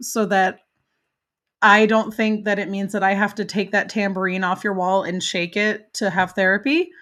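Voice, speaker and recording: Here a woman speaks at a fairly high pitch. She has an American accent. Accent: flawless American. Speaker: podcast host; parent. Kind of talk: casual interview chat. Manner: animated.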